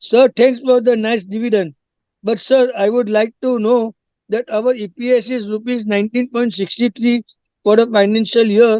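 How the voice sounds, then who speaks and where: Speaking at a moderate pace in a flat monotone, a man with an Indian accent has an extremely high pitch, heard in a dry, close sound with no echo. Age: 80s+. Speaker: shareholder. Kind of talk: shareholder speech at company meeting. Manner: formal; halting.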